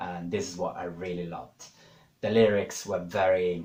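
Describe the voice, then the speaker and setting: At a fairly slow pace, the speech carries audible room echo. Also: man. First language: not English. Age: 30s. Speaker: YouTuber. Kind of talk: casual monologue. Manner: hesitant, many fillers.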